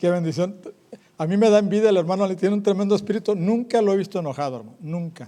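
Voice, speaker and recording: Speaking at a very fast pace, a man with a high voice shows ordinary pitch variation. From northern Mexico. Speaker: evangelist preacher. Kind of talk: sermon. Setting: church. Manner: animated.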